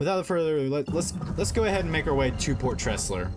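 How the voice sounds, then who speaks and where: With music in the background, a man talks at a very fast pace, his pitch swinging very widely. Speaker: video game streamer. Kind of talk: live gameplay stream commentary. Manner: halting, many fillers and restarts.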